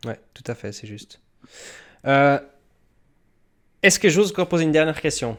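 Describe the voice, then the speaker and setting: A man's lively intonation is captured on a very clean recording with a silent background. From Switzerland. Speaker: YouTube crypto channel host. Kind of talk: interview.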